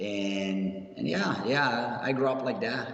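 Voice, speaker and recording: A man speaks at a fairly low pitch with ordinary pitch variation. Audible room echo and noticeable background noise come through. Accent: Italian. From Italy, Rome. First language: Italian. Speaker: professional wrestler. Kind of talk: interview.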